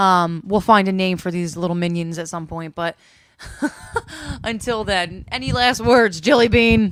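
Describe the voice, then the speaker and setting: A woman speaks at a moderate pace with a North Jersey accent, her pitch medium and its variation ordinary. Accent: North Jersey, mistaken for New York. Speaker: podcast host. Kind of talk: casual chat. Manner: loud.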